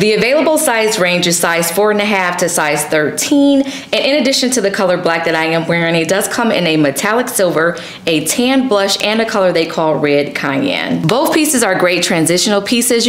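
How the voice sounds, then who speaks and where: A woman talks at a moderate pace with hardly any pauses, and audible room echo surrounds her voice. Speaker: fashion content creator. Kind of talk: sponsored fashion vlog talk. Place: home room.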